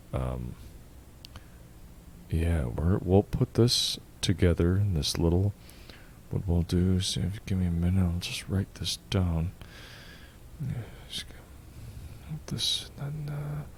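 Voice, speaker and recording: Soft-spoken and very deep in pitch, a man uses a put-on character voice at a fairly slow pace with long, frequent pauses over clear background noise. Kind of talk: ASMR roleplay, calm-spoken. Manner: calm, soft-spoken.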